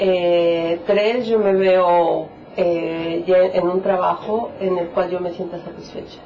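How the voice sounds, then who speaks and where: A woman speaks at a very slow pace in a monotone, flat delivery. The recording has audible room echo and noticeable background noise. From Mexico, Michoacán. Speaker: immigrant psychologist, French course student. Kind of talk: documentary interview. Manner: hesitant, with fillers.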